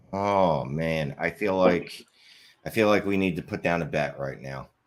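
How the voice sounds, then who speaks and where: A man with a Philadelphia accent, very deep and low in pitch, with ordinary pitch variation at a fairly slow pace. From Philadelphia area, US. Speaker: fantasy football podcaster. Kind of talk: casual chat. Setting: live stream.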